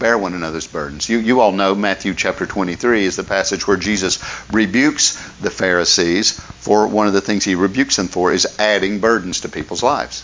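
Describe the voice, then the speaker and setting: An Appalachian accent against noticeable background noise. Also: man, fairly low pitch for a man, ordinary pitch variation, fairly quick pace. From West Virginia, McDowell County. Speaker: pastor. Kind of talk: sermon.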